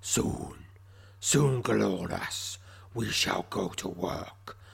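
A man growls and rumbles in a put-on character voice over light background noise. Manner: imperious, menacing.

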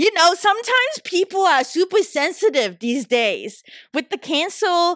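A woman with a Southeast Asian accent speaks at an extremely high pitch and a very slow pace. Her pitch swings very widely. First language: not English (English is third language). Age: 30s. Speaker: podcast host. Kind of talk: solo podcast monologue, casual and personal. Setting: San Francisco, recording solo.

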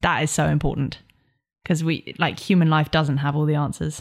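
A woman with a very deep, low pitch at a moderate pace, in a very clean recording with a silent background. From South West Devon, England. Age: 20s. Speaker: explorer. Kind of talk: interview.

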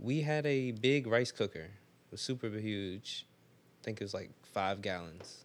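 A man's fairly low pitch at a fairly slow pace, a normal speaking voice, very clean recording with a silent background. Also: ordinary pitch variation. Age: 20s. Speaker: plant-based sushi chef. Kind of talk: casual chat.

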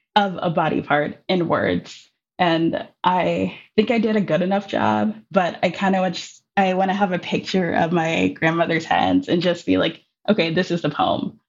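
Her pitch fairly low, a woman speaks at a fairly slow pace with vocal fry and ordinary pitch variation. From Minneapolis, US Midwest. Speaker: poet and educator. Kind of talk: interview conversation.

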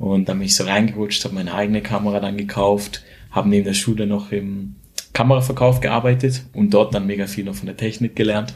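Against noticeable background noise, a man with a fairly low pitch talks at a fairly quick pace with fairly even intonation. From Switzerland, near Schaffhausen. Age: 20s. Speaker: photographer and videographer. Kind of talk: casual interview.

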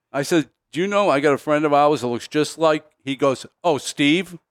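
A man's fairly high-pitched voice, an ordinary speaking voice, with ordinary pitch variation and a moderate pace, dry and close with no echo. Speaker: racing veteran. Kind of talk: casual chat. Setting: studio.

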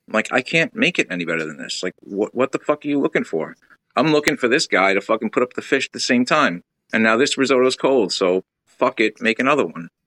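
Dry and close with no echo, a man's medium-pitched voice, showing vocal fry, races along very fast with lively intonation. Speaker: chef. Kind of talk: casual conversational interview. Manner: blunt, profane, emphatic.

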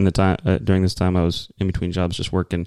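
In a very clean recording with a silent background, a man with an American accent speaks in a very deep, low voice, the sound dry and close with no echo. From Texas. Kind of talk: casual conversational podcast chat. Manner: casual, rambling.

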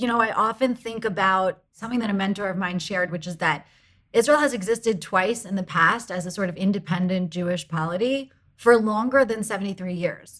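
An unremarkable speaking voice moves at a fairly quick pace. It carries an American accent and ordinary pitch variation. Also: woman, medium pitch for a woman. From United States. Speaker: advocacy group founder, former lawyer. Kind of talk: interview.

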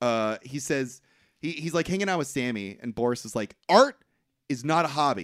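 In a very clean recording with a silent background, a man with a plain, everyday voice speaks at a fairly high pitch with lively intonation. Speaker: podcast host. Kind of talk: casual banter.

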